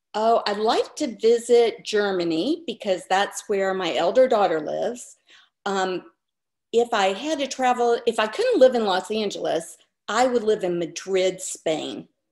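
A woman's fairly high voice comes through over a quiet background. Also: lively intonation, fairly slow pace. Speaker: comedian and actor. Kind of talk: interview answer. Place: home room. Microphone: video call.

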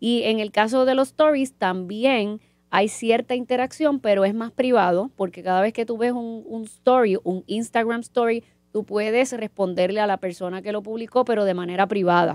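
In a dry recording with no echo and a quiet background, a woman speaks at a moderate pace with fairly high pitch and ordinary pitch variation. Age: 40s. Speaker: marketing professor; professor, podcast guest. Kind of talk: casual chat. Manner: halting, with many repetitions. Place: studio. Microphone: studio mic.

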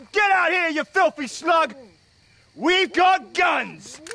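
Put-on character voice from a man, extremely high-pitched, at a fairly slow pace. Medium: short film. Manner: aggressive, shouting.

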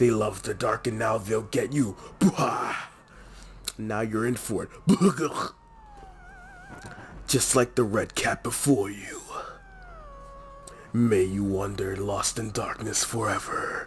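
A man's put-on character voice with a menacing tone, medium in pitch and fairly slow, broken by long, frequent pauses over clear background noise. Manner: menacing, taunting, with a villain cackle.

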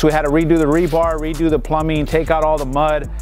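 A man's voice over faint background music, dry with no echo. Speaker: pool contractor. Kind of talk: casual vlog chat. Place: open country.

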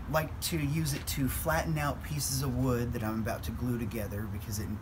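Amid noticeable background noise, a man with a fairly low pitch speaks at a moderate pace. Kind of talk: shop tour explanation. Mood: warm, enthusiastic. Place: workshop. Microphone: camera far.

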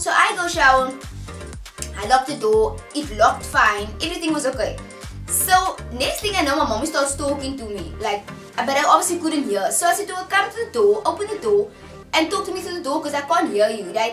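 A woman talks at a fairly quick pace in a high pitch, with audible room echo and clear music in the background. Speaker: vlogger. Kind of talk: casual vlog chat. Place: home room. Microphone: camera far.

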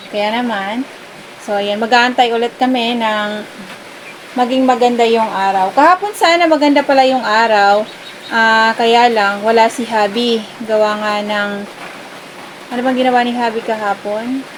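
At a fairly slow pace with long, frequent pauses, the speech comes through noticeable background noise. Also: woman, fairly high pitch for a woman, fairly even intonation. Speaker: farm vlogger. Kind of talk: casual vlog talk to camera.

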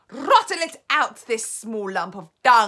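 A woman puts on a shrill character voice, raised and projected, with a fairly high pitch. She moves at a fairly slow pace with very wide pitch swings. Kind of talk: commanding, cruel. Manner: screeching.

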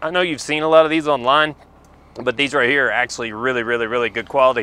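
A man with a bright, sharp tone talks at a very fast pace with ordinary pitch variation, in a dry sound with no echo. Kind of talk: product demonstration. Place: shop.

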